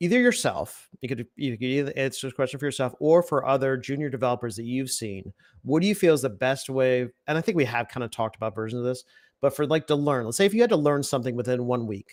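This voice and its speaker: A man's medium-pitched voice at a very fast pace, on a very clean recording with a silent background. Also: ordinary pitch variation. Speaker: podcast co-host and community college web development instructor. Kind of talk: casual chat. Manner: halting.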